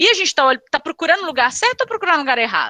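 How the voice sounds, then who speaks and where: With a Minas Gerais accent, the raised, projected voice has a bright, sharp tone and very wide pitch swings, recorded dry and close with no echo. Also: woman. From Brazil, Minas Gerais. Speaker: executive recruiter. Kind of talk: panel discussion.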